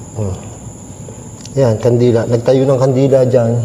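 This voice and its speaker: Amid noticeable background noise and audible room echo, a man talks at a moderate pace in a monotone, flat intonation. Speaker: paranormal mukbang vlogger. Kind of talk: solo ghost-hunting vlog with eating. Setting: inside a dark church. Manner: loud.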